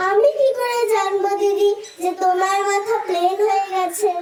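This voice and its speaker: Using a put-on character voice at an extremely high pitch, a woman speaks fairly slowly with fairly even intonation, slight echo and clear background noise. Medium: stage play. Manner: polite, folksy, calls others 'didi'.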